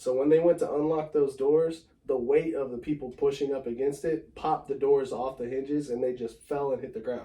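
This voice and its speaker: With an American accent, this man speaks at a fairly quick pace with hardly any pauses, his fairly high voice dark and mellow and his intonation fairly even. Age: 30s. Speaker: sneaker collector. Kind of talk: casual chat.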